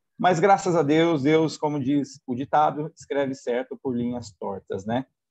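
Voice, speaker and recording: A man's fairly high voice at a moderate pace, with ordinary pitch variation and a dry, close sound with no echo. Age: 40s. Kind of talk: testimony. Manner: hesitant, with fillers.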